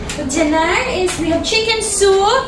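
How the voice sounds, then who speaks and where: Noticeable background noise surrounds a woman shouting loudly with a Visayan accent. Her pitch is extremely high and her intonation fairly even. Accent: Bisaya. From Visayas, Philippines. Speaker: cooking vlogger, mother. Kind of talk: cooking vlog. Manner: loud, almost shouting; fierce-sounding.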